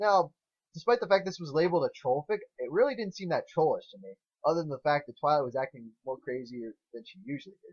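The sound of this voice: Talking at a fast pace, a man with a fairly high pitch shows lively intonation, a slightly mellow tone and a slightly husky edge.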